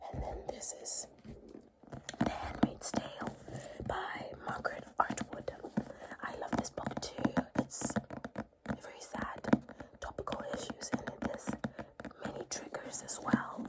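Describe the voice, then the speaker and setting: Someone whispers with long, frequent pauses against noticeable background noise. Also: fairly slow pace. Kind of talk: ASMR book haul. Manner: soft-spoken, whispered.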